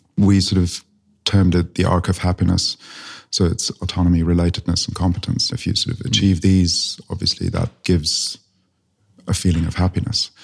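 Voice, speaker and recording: A somewhat breathy voice at a fairly quick pace with fairly even intonation, on a very clean recording with a silent background. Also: man, very deep, low pitch for a man. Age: 40s. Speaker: entrepreneur. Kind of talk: casual conversation. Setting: in-person in a library-like room.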